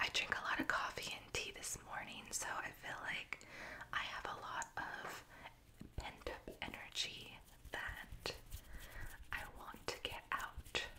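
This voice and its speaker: Whispering at a very slow pace with long, frequent pauses, a woman is heard over noticeable background noise. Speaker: ASMR creator reading Reddit stories. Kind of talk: casual talk to camera intro. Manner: whispered, soft-spoken.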